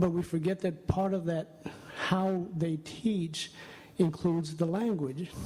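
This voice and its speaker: Someone speaks in a Spanish accent. The pace is fairly slow. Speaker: audience member, math education specialist. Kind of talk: audience question at a conference session. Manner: halting.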